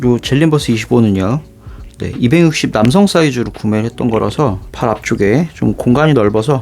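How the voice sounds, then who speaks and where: Lively in intonation and fairly quick in pace, a man speaks while noticeable background noise carries on behind him. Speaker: shoe reviewer YouTuber. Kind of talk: product unboxing review.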